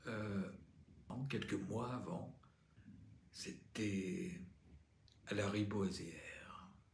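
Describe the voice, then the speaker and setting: The voice is somewhat breathy with ordinary pitch variation. Audible room echo surrounds it. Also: man. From Normandy, France (pays de Caux). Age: 60s. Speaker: patient advocate, former actor. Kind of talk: testimony.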